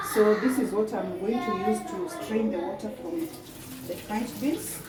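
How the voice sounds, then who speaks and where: A woman with a Kenyan accent talks at a fairly slow pace and fairly high pitch, with very wide pitch swings. Audible room echo and noticeable background noise surround her voice. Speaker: cooking vlogger. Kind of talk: cooking tutorial. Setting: home kitchen. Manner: halting.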